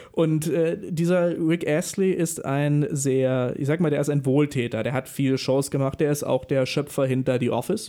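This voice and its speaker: At a moderate pace with hardly any pauses, a man speaks in a fairly high pitch with a dark, mellow tone and ordinary pitch variation. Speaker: radio host. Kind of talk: live radio show hosting. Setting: radio studio. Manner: lively, showman-like.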